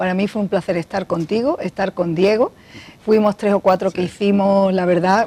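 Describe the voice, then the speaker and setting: A woman's dark, mellow tone sits at a medium pitch. She keeps a moderate pace and fairly even intonation. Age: 40s. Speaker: talk show host. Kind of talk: interview. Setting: studio.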